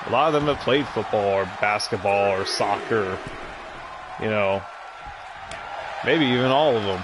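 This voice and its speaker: With crowd noise in the background and audible room echo, a man speaks in a relaxed tone at a fairly low pitch with ordinary pitch variation, taking long, frequent pauses. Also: moderate pace. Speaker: video game commentator. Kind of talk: casual gameplay commentary. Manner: relaxed, chill; stuttering.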